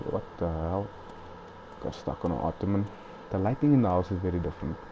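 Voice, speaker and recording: A soft-spoken man, very deep and low in pitch, talking at a very fast pace. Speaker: gaming streamer. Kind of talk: live gameplay commentary. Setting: at home at night. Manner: casual.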